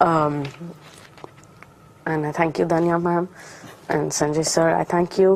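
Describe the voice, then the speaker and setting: Over noticeable background noise, a woman speaks fairly slowly in a fairly low, monotone, flat voice, with long, frequent pauses. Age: young. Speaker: motivational speaker. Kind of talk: testimony. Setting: studio.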